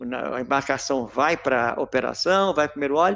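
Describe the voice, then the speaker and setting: Lively intonation at a moderate pace. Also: man. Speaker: corrosion and maintenance engineer. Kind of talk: technical lecture in a live webinar. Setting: online live stream. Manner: clear, well spaced delivery; frequent stumbles and swallowed word endings.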